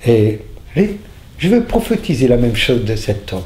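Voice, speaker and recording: Amid audible room echo, a man with a dark, mellow, somewhat breathy tone talks at a moderate pace with very wide pitch swings. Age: 60s. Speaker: faith healer. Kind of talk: testimony. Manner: halting.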